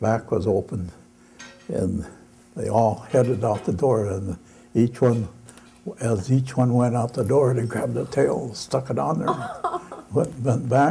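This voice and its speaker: A man with an American accent talks at a fairly slow pace in a dark, mellow, somewhat breathy tone, using ordinary pitch variation and long, frequent pauses over light background noise. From Michigan, United States. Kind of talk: live storytelling performance to an audience. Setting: live event in a gallery exhibit. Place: hall. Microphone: camera far.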